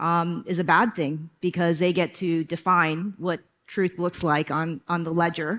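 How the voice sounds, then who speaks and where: A woman with a fairly low voice keeps a moderate pace as music plays in the background. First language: not English. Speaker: tech executive. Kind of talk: panel discussion.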